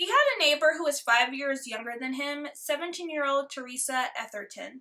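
Projecting a raised voice over a quiet background, a woman speaks at a moderate pace in a high pitch, her tone solemn and dramatic with lively intonation. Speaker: true crime YouTuber. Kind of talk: true-crime narration, scripted-sounding storytelling with a casual intro. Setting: home recording, alone. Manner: solemn, dramatic and judgmental in the case telling; chatty, friendly and casual in intro and outro. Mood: sassy, disgusted asides.

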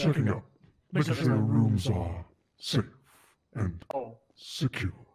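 A man talks at medium pitch and a fairly slow pace. His intonation is lively and his loudness very even. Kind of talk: proper, old-fashioned politeness. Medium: game stream. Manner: formal, prim, courteous.

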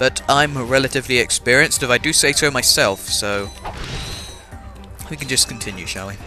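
Over music in the background, a man with an English accent talks at a fairly quick pace and medium pitch, with ordinary pitch variation and long, frequent pauses. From England. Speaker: video game let's play commentator. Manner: casual, chatty, self-deprecating.

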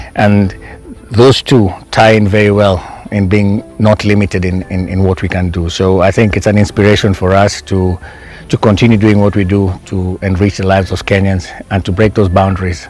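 A man with a fairly low voice speaks at a moderate pace in a flat monotone, the sound dry with no echo and faint music playing in the background. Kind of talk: interview answer. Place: garden.

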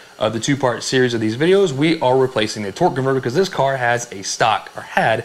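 Ordinary pitch variation runs through his speech. The man keeps a fairly quick pace. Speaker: car hobbyist host. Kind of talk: casual vlog chat. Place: garage.

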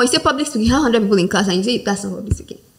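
Noticeable background noise is present. Over it, a woman talks with lively intonation. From Nigeria. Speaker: diction coach. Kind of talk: interview.

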